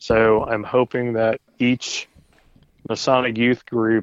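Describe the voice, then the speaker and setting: Monotone, flat intonation with an American accent. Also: man. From Indiana, east side of Indianapolis. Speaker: Masonic grand commander. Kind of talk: casual interview.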